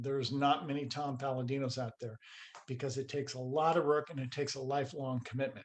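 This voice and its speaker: At a very fast pace, a somewhat breathy man talks in a monotone, flat intonation. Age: 60s. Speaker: scalar energy researcher. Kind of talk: interview.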